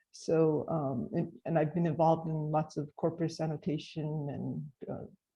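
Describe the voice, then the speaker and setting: A woman with an American accent speaks at a very deep, low pitch with fairly even intonation. Her tone is dark and mellow, and somewhat breathy. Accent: American English with slight French tinge. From United States. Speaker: speech research scientist. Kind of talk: panel discussion introduction.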